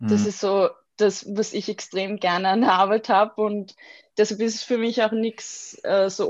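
The speaker has a plain, everyday voice and moves at a moderate pace. The background is quiet. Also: woman. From Austria, Vienna. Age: 20s. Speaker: graphic designer. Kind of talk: interview conversation.

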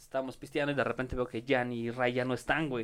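In a plain, everyday voice, a man talks fairly quickly at a medium pitch. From Mexico City (Iztapalapa). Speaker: comedian. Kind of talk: casual chat with comic storytelling.

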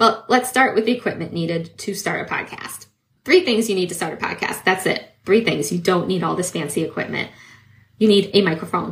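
A woman speaks at a fairly quick pace and medium pitch with ordinary pitch variation. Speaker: podcast host and coach. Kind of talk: solo educational talk. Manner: fast talker.

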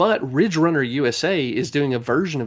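A man with a Southern US accent is heard on a very clean recording with a silent background. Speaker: podcast host. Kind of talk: casual chat.

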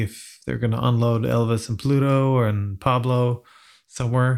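A man with a Swedish accent speaks at a moderate pace in a medium pitch, his intonation monotone and flat, on a very clean recording with a silent background. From Sweden. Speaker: podcast host. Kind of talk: casual chat.

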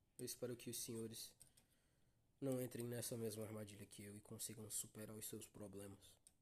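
A somewhat breathy man at medium pitch, fairly quick, with monotone, flat intonation. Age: young. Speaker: podcast host. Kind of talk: casual monologue.

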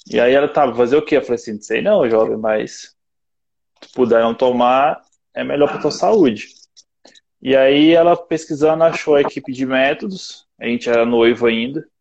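A man's normal speaking voice sits at a medium pitch, moving at a moderate tempo with ordinary pitch variation. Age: 20s. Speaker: personal trainer. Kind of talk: casual chat. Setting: online video live stream.

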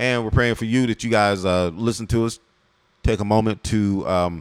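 At a moderate pace, a man talks in a medium pitch with a plain, everyday voice. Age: 40s. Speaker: podcast host, married man. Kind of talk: casual chat.

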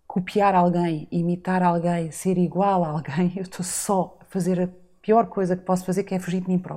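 Her dark, mellow tone sits at a medium pitch as the woman speaks at a moderate pace. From Azores, São Miguel. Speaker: retreat facilitator and podcaster. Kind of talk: interview conversation. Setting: studio.

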